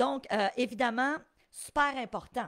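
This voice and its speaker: In a Quebec accent, the speaker uses an animated tone with ordinary pitch variation. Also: woman. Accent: Québécois French. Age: 50s. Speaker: real estate investing coach. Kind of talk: live webinar teaching. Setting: live stream.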